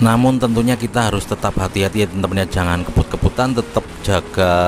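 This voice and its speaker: A man speaks against noticeable background noise. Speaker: motovlogger. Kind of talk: casual vlog commentary. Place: motorbike.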